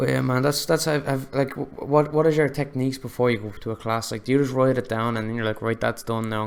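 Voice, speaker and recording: In an Irish accent, a man with a medium pitch speaks at a very fast pace with hardly any pauses. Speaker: podcast host, filmmaker. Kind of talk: casual chat.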